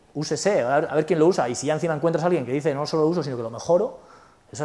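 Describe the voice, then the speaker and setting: Pitched fairly high for a man, this speaker has lively intonation. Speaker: conference speaker, software developer. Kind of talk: conference talk with Q&A. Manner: fast.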